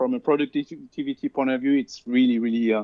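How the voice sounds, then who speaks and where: A man with a French accent and fairly even intonation. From France. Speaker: cloud solution architect. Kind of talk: interview.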